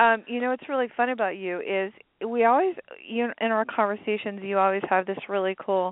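At a fairly quick pace, a woman speaks at a medium pitch with ordinary pitch variation in a dry, close sound with no echo.

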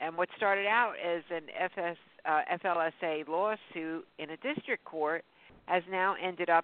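With an ordinary speaking voice, a woman talks at a fairly low pitch with ordinary pitch variation. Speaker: radio host. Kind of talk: casual interview. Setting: phone call.

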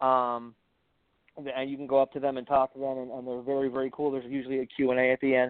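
Speaking very fast, the man uses a fairly high pitch. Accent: American. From Wisconsin, US Midwest. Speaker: caller, fellow podcaster. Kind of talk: casual chat.

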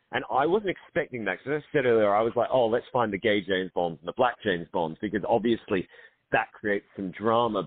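A man with an Australian accent speaks at medium pitch with lively intonation. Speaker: film director and co-writer. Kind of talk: casual radio interview. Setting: radio show.

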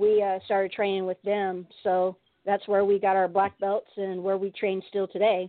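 A woman with an American accent talks at a moderate pace and medium pitch, her intonation flat and monotone. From San Diego, California. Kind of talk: casual interview. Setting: phone call.

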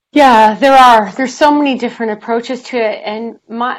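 In a very clean recording with a silent background, a woman with an unremarkable speaking voice talks at a moderate pace and a fairly high pitch. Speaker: author and inspirational speaker. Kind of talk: interview.

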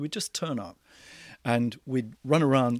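With a New Zealand accent, a man talks at a moderate pace with ordinary pitch variation, sounding dry and close with no echo on a very clean recording with a silent background. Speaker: drama teacher. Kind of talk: interview.

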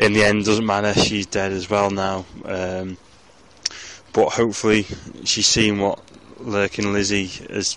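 At a fairly slow pace, a man speaks in a fairly low pitch with monotone, flat intonation over noticeable background noise. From northern England (Ormskirk, Lancashire). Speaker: listener leaving voicemail. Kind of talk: voicemail message.

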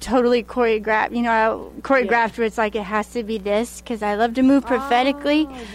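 Fairly high in pitch, a woman talks with a Southern US accent and ordinary pitch variation. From Arkansas. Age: 40s. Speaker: prophetic dancer. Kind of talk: interview testimony.

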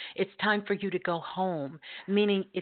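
With a plain, everyday voice, a woman talks at a moderate pace and medium pitch, her intonation fairly even. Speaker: radio host and intuitive healer. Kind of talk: live call-in radio show with readings. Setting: online radio show, live call-ins.

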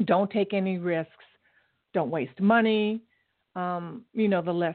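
This woman's voice sits fairly low. Her intonation stays fairly even.

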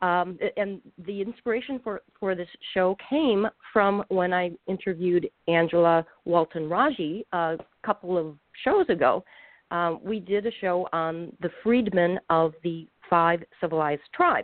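A woman talks at a fairly slow pace with a fairly low pitch and ordinary pitch variation. The recording is dry and close, with no echo.

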